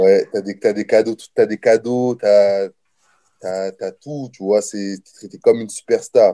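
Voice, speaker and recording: A man speaks at a fairly slow pace in a dry, close sound with no echo. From France, Nancy and Orléans. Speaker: college football player. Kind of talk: interview. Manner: casual.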